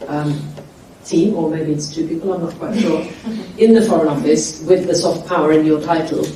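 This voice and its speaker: A woman with a fairly low pitch speaks amid audible room echo and noticeable background noise. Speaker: soft power group representative on panel. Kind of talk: panel discussion. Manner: loud.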